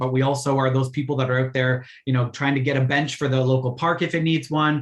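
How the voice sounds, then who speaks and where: Somewhat breathy and fairly high-pitched, a man speaks at a fairly quick pace. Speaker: Rotary youth exchange volunteer presenter. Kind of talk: virtual info session presentation. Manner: fast.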